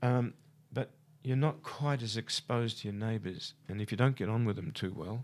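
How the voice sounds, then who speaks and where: Speaking with an Australian accent, a man talks at medium pitch and a moderate pace with ordinary pitch variation. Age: 70s. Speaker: architect. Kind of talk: radio interview. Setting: studio. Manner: halting.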